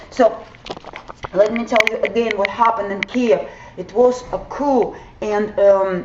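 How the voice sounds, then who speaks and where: A fairly high-pitched woman with a Ukrainian accent, a fairly slow pace, long and frequent pauses, and noticeable background noise. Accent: Ukrainian accent, non-native English. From southern Ukraine. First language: Russian or Ukrainian. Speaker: vlogger. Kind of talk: explainer video. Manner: halting, many fillers.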